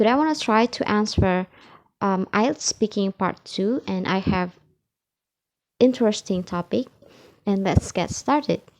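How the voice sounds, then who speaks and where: In an Indonesian accent, a woman speaks at a medium pitch and moderate pace with ordinary pitch variation. The sound is dry and close with no echo, over a quiet background. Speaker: English learner. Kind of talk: IELTS speaking practice answer to camera. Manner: hesitant, with filler sounds.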